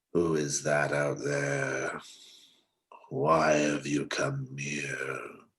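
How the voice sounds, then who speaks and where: A man does a put-on character voice, growling and raspy at a very deep, low pitch. He speaks at a very slow pace. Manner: demanding, ominous.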